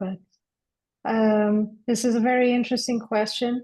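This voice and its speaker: Against a quiet background, a woman speaks in a fairly high pitch with a dark, mellow, somewhat breathy tone and monotone, flat intonation. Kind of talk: discussion seminar. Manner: slow.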